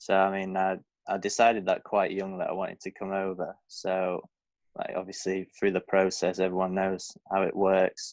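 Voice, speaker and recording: Speaking in a Lancashire accent at a moderate pace, a man comes through with a dry, close sound and no echo. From northern England, Blackpool. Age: 20s. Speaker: professional golfer. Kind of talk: podcast interview. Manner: casual, hesitant with fillers.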